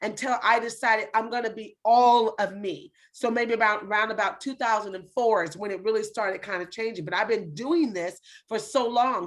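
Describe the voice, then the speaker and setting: Speaking at a moderate pace, a woman has a fairly high pitch and an animated tone. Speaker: talk show host. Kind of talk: casual interview chat. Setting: video call.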